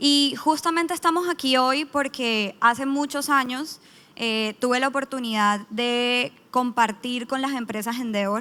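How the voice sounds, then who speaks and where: A woman's high voice with a Colombian accent, bright and sharp in tone, ordinary pitch variation, at a fairly slow pace. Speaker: startup founder and team-building consultant. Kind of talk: conference panel talk. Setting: stage with audience.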